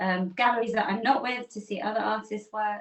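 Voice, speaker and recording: Here is a woman with an English accent. Her fairly high pitch shows ordinary pitch variation. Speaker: artist. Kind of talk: interview answer. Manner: open, chatty.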